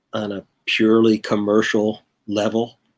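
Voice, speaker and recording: Recorded with a dry, close sound and no echo, a man speaks at a medium pitch. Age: 60s. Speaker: bassist and record producer. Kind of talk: casual interview. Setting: online video call livestream. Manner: halting, many fillers and repeats.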